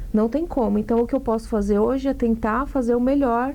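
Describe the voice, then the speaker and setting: Here a woman talks at a moderate pace in a high pitch. Her tone is dark and mellow, and her intonation fairly even. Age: 30s. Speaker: actress and singer. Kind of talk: interview.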